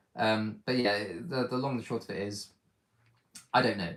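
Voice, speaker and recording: A man with a British accent talks at a fairly quick pace. His pitch is fairly low and his intonation fairly even. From Britain. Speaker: micronation leader and channel host. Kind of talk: live stream Q&A. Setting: YouTube live stream.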